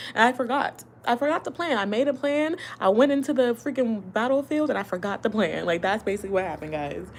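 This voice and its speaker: A woman speaks with lively intonation. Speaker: relationship advice vlogger. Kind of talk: casual live-stream monologue. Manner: fast.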